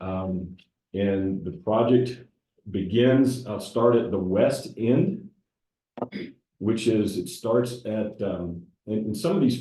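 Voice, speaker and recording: Here a man speaks with a Southern US accent and a dark, mellow tone at fairly low pitch. His intonation is fairly even, and the room echo is audible. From US South. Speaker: civil engineer. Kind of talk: public presentation. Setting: council meeting room with audience. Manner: hesitant with many fillers.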